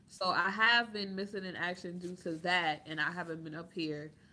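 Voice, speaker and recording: A loud woman's voice, fairly low in pitch. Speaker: YouTube commentator. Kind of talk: livestream chat.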